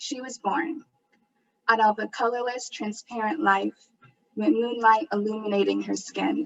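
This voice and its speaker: Fairly slow with long, frequent pauses, a woman's fairly high voice has ordinary pitch variation and big swings in loudness. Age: 20s. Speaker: poet. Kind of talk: spoken word performance.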